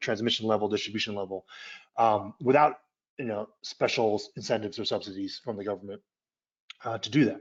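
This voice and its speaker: Speaking very fast, a man keeps his medium-pitched voice in fairly even intonation. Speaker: energy policy expert presenter. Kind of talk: webinar presentation. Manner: halting, many fillers and repeats.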